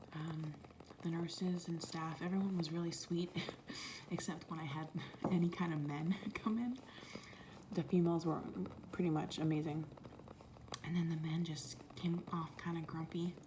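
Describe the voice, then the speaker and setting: Against noticeable background noise, a woman with a fairly low pitch speaks at a moderate pace with fairly even intonation and long, frequent pauses. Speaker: mother of a newborn and an older son. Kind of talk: ASMR storytime, soft-spoken personal labor story. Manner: soft-spoken, emotional at times.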